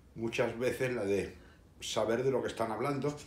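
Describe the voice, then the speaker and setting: Amid noticeable background noise and audible room echo, a man with a slight Andalusian accent speaks at a fairly slow pace. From Seville, Spain. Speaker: history video host. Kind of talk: casual monologue. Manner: hesitant, many fillers.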